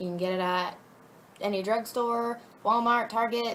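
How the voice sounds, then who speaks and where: Fairly slow speech from a woman at a fairly high pitch, with noticeable background noise. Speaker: fashion model and vlogger. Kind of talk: casual vlog tutorial.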